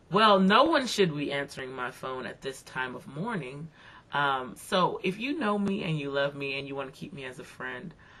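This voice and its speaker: Over noticeable background noise, a woman speaks at a moderate pace in a very deep, low voice. Her intonation is lively, and her loudness swings a lot. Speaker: video blogger. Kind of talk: casual video blog monologue. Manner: conversational, many fillers.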